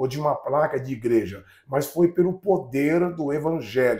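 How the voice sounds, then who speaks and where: The pitch rises and falls in an ordinary way. The pace is moderate. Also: man. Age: 60s. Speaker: pastor. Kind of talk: testimony. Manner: halting, repeats words.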